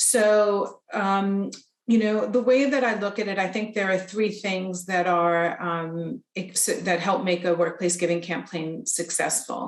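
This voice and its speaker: In a North American accent, a woman speaks at a medium pitch and a fairly slow pace, with ordinary pitch variation and hardly any pauses. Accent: North American, noticeable. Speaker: charity representative, presenter. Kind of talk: presentation. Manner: hesitant, many fillers.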